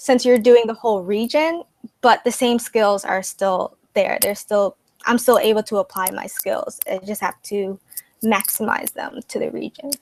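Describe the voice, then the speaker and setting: Soft-spoken, a woman talks at a moderate pace in a fairly high voice. The sound is dry and close with no echo. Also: ordinary pitch variation. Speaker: student candidate in election. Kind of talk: interview.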